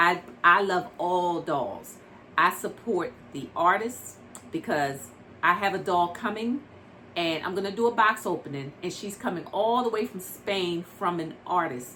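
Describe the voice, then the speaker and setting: A woman speaks at medium pitch with ordinary variation. Her pace is fairly slow. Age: 60s. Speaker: doll collector vlogger. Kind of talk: casual vlog talk to camera. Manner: conversational with frequent fillers.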